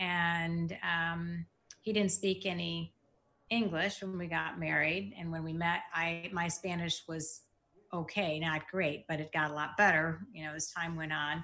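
In a Midwestern American accent, the speaker talks at a fairly slow pace with monotone, flat intonation. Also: woman, fairly low pitch for a woman. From Michigan, US Midwest. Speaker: bank executive and cancer patient. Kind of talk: interview testimony. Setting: at her desk.

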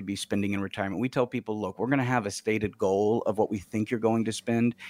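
In a dry, close sound with no echo, a man with a plain, everyday voice and an American accent talks at a fairly quick pace with ordinary pitch variation. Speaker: financial advisor. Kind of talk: financial advice radio discussion. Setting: studio.

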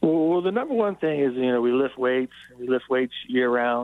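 Using a normal speaking voice, a man with an American accent talks at a moderate pace and a medium pitch. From Frederick County, Maryland. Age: 50s. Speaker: high school football coach. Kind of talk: radio interview.

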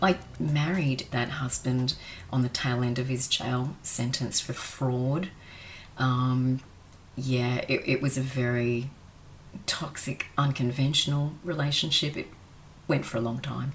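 Somewhat breathy, with a very deep, low pitch, a woman speaks in an Australian accent with fairly even intonation. She goes at a fairly slow pace, with long, frequent pauses. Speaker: former escort sharing life story. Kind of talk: personal testimony interview.

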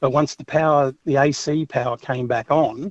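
A man with an Australian accent at a moderate pace, fairly even intonation, a dry, close sound with no echo and a quiet background. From Australia, Brisbane. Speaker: truck driver caller. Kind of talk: talkback call. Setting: phone call.

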